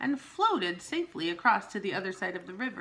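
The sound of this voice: Text is read aloud here. It comes in an unforced reading voice.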